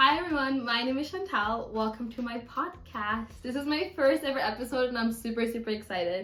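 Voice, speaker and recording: Audible room echo surrounds a woman speaking at a fairly quick pace, her fairly high pitch showing ordinary variation. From Germany. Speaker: university student podcaster. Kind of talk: casual chat.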